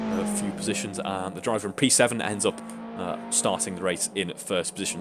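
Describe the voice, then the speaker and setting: Against music in the background, a man talks at a very fast pace with very wide pitch swings. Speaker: sim racing commentator. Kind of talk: live commentary. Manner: mumbling; animated.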